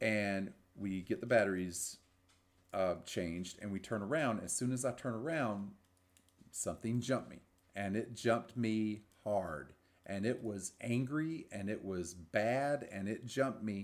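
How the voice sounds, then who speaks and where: A man speaks at a fairly slow pace in a fairly low pitch with ordinary pitch variation. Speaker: paranormal investigator and podcast co-host; teacher. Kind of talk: casual chat, storytelling. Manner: loud.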